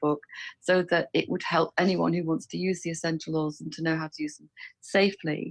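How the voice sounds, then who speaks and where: In an English accent, a woman talks fairly quickly at a fairly low pitch, monotone and flat, with dry, close sound and no echo. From England. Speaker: author and aromatherapy specialist. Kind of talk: interview.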